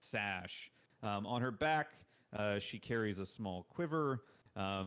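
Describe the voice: Lively intonation over plain reading aloud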